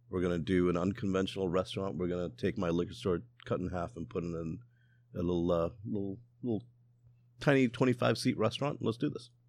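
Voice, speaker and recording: Very fast, lively speech from a man with a very deep, low pitch and vocal fry. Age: 40s. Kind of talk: casual chat. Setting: outdoors.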